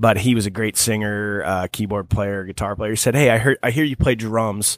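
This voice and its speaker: A man with an American accent has an unremarkable speaking voice, fairly low in pitch with ordinary pitch variation. He talks at a fairly quick pace in a very clean recording with a silent background. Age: 30s. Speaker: cover band drummer. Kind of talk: casual interview. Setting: studio.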